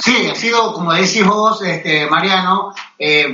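A man with an Argentine accent speaks at a high pitch with ordinary pitch variation. Noticeable background noise and audible room echo are present. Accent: Argentine Spanish (voseo). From Argentina. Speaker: golf magazine editor. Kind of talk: interview. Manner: halting, many fillers and repetitions.

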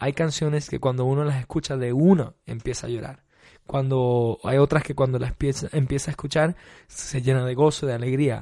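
Moderately paced speech from a man of medium pitch, fairly even intonation, over a quiet background. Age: 30s. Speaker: worship pastor. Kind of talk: interview. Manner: hesitant, many fillers.

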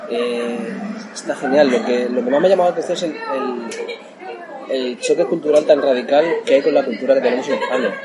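There is crowd noise in the background and audible room echo. Over it, a man talks at a fairly quick pace with a fairly high pitch. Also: ordinary pitch variation. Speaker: retro video game website contributor. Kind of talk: casual interview chat. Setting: at a convenience store in Japan over beer. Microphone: recorded much quieter than the host.

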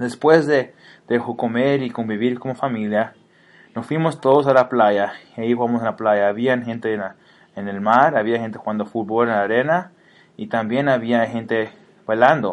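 A man talks at a moderate pace with a medium pitch. His intonation stays fairly even over a quiet background. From Mexico and US, bicultural. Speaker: student. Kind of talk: scripted narration. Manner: halting.

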